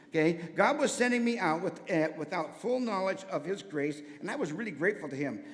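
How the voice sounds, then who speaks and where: A man with an American accent and a high pitch talks at a fairly quick pace with lively intonation and hardly any pauses, against noticeable background noise. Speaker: church member giving testimony, former teacher. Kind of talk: testimony. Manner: fast; energetic.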